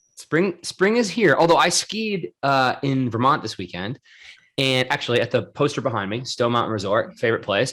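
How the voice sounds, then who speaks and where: A man's animated tone at medium pitch and a moderate pace, with very wide pitch swings. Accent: Rhode Island. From Rhode Island, US. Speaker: podcast host. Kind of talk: casual chat.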